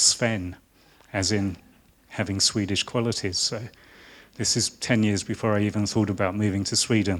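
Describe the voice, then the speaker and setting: A man with a southern English accent talks at a moderate pace. His voice is fairly low in pitch, with a monotone, flat intonation. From southern England (Hertfordshire). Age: 50s. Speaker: designer. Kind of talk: lecture. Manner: halting.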